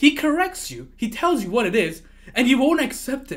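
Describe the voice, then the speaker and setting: In a raised, projected voice, a man speaks with an animated, bright, sharp tone. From Malaysia, Penang. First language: not English. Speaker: keyboard streamer. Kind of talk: casual livestream chat. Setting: live stream.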